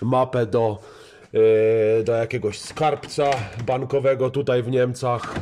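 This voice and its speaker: Against light background noise, a man talks at a fairly slow pace in a monotone, flat intonation. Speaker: car hobby vlogger. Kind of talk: casual vlog chat. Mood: jokey, playful. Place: garage. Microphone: phone near.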